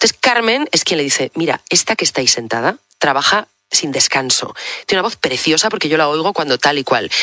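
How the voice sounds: A woman with a low voice speaks in a bright, sharp tone with lively intonation. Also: fairly quick pace, few pauses.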